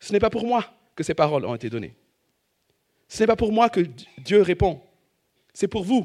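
At a moderate pace, a man with a high pitch speaks with lively intonation and long, frequent pauses on a very clean recording with a silent background. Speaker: preacher. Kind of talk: sermon.

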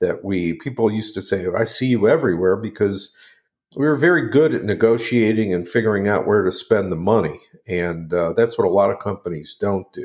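A man's pitch swings very widely as he talks at a moderate pace on a very clean recording with a silent background. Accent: Midwestern US. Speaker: marketing company owner and radio host. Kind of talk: casual interview. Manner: hesitant, filler-heavy.

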